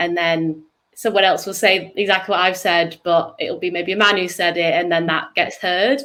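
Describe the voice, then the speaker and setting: Speaking with a northern English accent, a woman keeps her medium-pitched voice on a fairly even intonation. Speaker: startup co-founder. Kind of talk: interview. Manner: halting.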